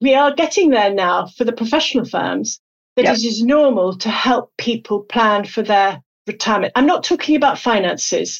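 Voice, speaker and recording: A woman with a British accent speaks at a moderate pace. Her pitch is fairly high and her intonation lively. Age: 60s. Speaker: company CEO. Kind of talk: interview. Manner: animated.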